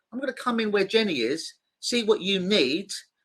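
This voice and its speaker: In an English accent, a man speaks at a fairly quick pace with a bright, sharp tone against a quiet background. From London, England. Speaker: clinical hypnotist. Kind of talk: interview.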